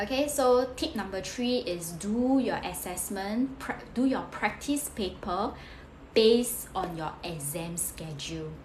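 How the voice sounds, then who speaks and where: A woman's medium-pitched voice with lively intonation, audible room echo and noticeable background noise. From Singapore. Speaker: career coach, former tutor. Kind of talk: live stream study tips talk. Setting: live stream. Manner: fast.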